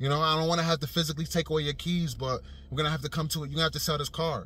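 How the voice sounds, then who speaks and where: The sound is dry with no echo. A man speaks in a bright, sharp tone. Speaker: vlogger. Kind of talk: casual vlog commentary. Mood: earnest, persuasive. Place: car. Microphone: phone near.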